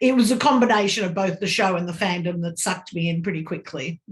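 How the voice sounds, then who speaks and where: At medium pitch, a woman speaks in a somewhat breathy voice. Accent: Australian. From Australia. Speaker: fan interviewee. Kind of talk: interview.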